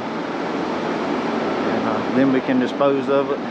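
Loud noise fills the background. The sound is dry, with no echo. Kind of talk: casual vlog commentary. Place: open country. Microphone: phone near.

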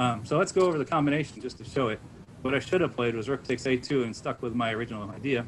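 Over light background noise, a man with an American accent talks at a very fast pace, at a medium pitch with ordinary pitch variation. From US Northeast (Connecticut). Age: 50s. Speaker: chess master giving a lecture. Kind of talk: lecture. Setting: online club lecture with audience. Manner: halting with frequent fillers. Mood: relaxed, enthusiastic storytelling. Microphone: webcam.

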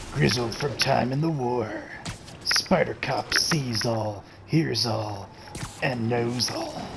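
A man performs a put-on character voice at a very slow pace. Loud background noise runs under it. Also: medium pitch for a man.

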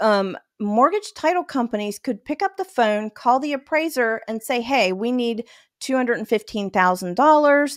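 A woman with an American accent, fairly high-pitched and lively in intonation, at a moderate pace against a quiet background. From northern West Virginia. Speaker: auto finance manager and consumer advocate; podcast guest. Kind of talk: casual interview. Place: home room. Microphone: studio mic.

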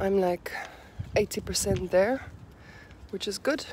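A woman's very slow speech with vocal fry, ordinary pitch variation, a dry sound with no echo and light background noise. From South Africa. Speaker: vlogger and real estate agent. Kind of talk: casual vlog monologue. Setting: outdoors walking dog. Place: street. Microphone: phone near.

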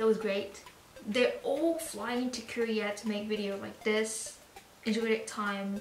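A woman speaks at a moderate pace. Music plays in the background amid audible room echo. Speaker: reaction video host. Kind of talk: casual vlog chat. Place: home room. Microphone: camera far.

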